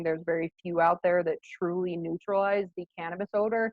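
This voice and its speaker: Her intonation monotone and flat, a woman talks at a fairly low pitch. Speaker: state environmental program staff presenter. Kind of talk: webinar presentation. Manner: fast.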